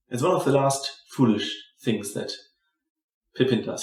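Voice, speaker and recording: A man with a German accent, ordinary pitch variation and a moderate pace. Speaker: movie commentary youtuber. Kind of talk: casual commentary while watching a film. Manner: hesitant, with false starts.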